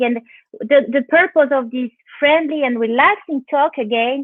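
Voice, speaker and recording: A woman with a French accent speaks at a moderate pace in a high voice, her intonation fairly even. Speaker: interviewer. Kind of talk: live interview. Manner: halting.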